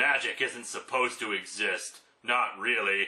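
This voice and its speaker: A man performs a put-on character voice. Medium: solo performance.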